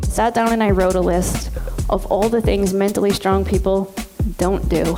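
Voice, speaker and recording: Over music in the background, a woman talks at a moderate pace with very even loudness. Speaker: psychotherapist and keynote speaker. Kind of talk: keynote speech.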